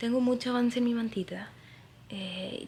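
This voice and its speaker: A soft-spoken woman over noticeable background noise. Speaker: crochet designer and vlogger. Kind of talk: casual vlog. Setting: at home.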